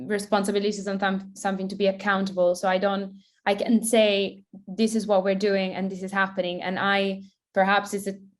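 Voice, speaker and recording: With monotone, flat intonation, the woman holds a medium pitch at a moderate pace. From Italy. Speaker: product designer. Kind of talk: panel Q&A.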